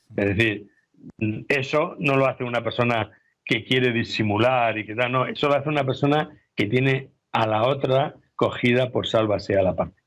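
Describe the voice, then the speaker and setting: This is a plain, everyday voice. It moves at a moderate pace with ordinary pitch variation. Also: man, medium pitch for a man. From Spain, Albacete. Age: 60s. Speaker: investigative journalist and author. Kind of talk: interview.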